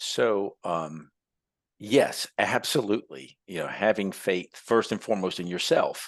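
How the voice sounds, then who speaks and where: Against a quiet background, a man with an unremarkable speaking voice talks at a fairly slow pace, with a fairly low pitch and ordinary pitch variation. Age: 60s. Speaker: entrepreneur and tradesman. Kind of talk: podcast interview. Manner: conversational, with many fillers.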